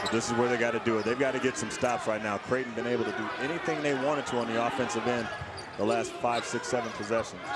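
Very fast speech, dry with no echo, comes through over loud background noise. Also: man. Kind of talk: live sports commentary, analysis. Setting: arena broadcast, TV. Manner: conversational, enthusiastic, explanatory. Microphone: headset.

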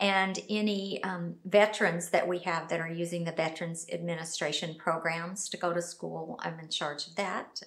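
A woman at a moderate pace against a quiet background. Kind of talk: interview answer. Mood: friendly, smiling. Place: office.

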